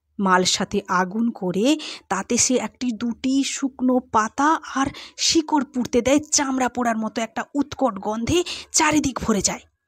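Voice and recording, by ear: Speaking at a fairly slow pace, a woman with a fairly high pitch and a slightly husky edge uses ordinary pitch variation on a very clean recording with a silent background.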